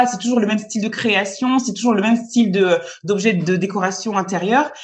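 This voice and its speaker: A woman's fairly high, somewhat breathy voice. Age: 30s. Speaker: entrepreneur. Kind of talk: interview. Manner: halting, frequent repetitions.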